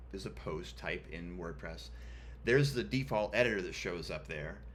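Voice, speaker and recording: A man's very deep, low voice with vocal fry and very wide pitch swings, in audible room echo. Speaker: web developer tutorial host. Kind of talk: screen-share coding tutorial. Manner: casual, many filler ums.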